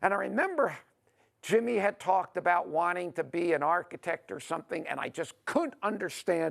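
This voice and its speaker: A man with an American accent, a high pitch, ordinary pitch variation, and a moderate pace. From New York. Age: 60s. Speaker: author and speaker. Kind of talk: monologue.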